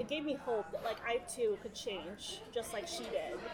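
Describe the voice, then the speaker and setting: A woman with an American accent speaks at a moderate pace with ordinary pitch variation, and audible room echo and crowd noise can be heard behind her. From New York City. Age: 30s. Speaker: lawyer in recovery. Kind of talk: casual interview, personal testimony. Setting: busy diner.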